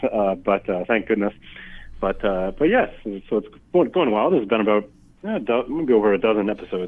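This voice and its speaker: His pace is moderate. The speaker is a man whose pitch varies in an ordinary way. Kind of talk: radio interview. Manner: many ums and ahs.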